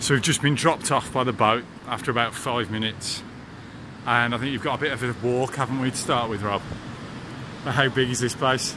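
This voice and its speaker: A man delivers his words fairly quickly and with fairly level intonation, noticeable noise audible behind him. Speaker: travel vlogger. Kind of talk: casual vlog chat. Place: tunnel cave. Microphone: phone near.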